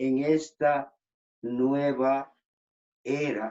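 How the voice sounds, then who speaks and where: This man's voice has a dark, mellow tone. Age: 60s. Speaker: migrant rights activist. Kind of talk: interview.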